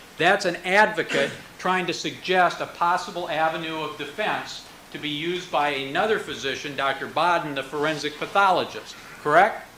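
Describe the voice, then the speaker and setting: A man's fairly high-pitched voice at a moderate pace with fairly even intonation, audible room echo and noticeable background noise. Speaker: prosecutor. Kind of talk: courtroom cross-examination. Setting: courtroom.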